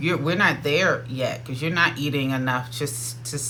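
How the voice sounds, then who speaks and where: A man talks with an American accent. Noticeable background noise and audible room echo are present. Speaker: dietitian. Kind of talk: casual talk to camera. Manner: fast.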